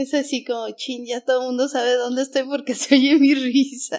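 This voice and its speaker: A woman speaks in a high pitch. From Mexico City. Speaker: artist and art teacher. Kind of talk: interview.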